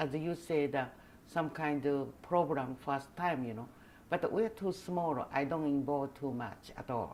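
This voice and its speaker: A woman with a Japanese accent and lively intonation. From Taiwan. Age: 80s+. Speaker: costume designer. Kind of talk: oral history interview. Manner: halting.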